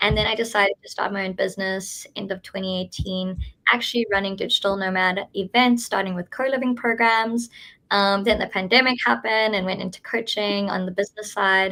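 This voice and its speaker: The voice has a bright, sharp tone with a South African accent. It moves at a fairly quick pace with fairly even intonation. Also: woman, medium pitch for a woman. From South Africa, Cape Town. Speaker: event organizer. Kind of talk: live webinar presentation. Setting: live stream.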